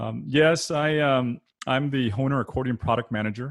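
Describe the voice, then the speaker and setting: Ordinary pitch variation marks this man's voice. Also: dry, close sound with no echo. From South Texas (Rio Grande Valley, Weslaco). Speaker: accordion product manager and performer. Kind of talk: panel discussion. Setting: video call. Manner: many fillers and restarts.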